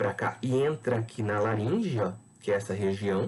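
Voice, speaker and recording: A man talks with a fairly low pitch and a somewhat breathy quality. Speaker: biology teacher. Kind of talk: lecture.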